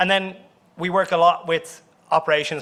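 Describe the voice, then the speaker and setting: Speaking at a fairly quick pace, a man with an Irish accent has a bright, sharp tone. His intonation stays fairly even. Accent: Irish accent, speaker apologizes for it. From Ireland. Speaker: company CEO, conference speaker. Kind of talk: conference presentation. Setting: conference room with audience.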